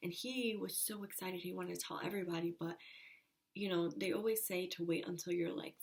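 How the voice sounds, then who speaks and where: A woman with an ordinary speaking voice talks at a moderate pace, her fairly low pitch showing ordinary variation. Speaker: vlogger. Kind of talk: casual chat.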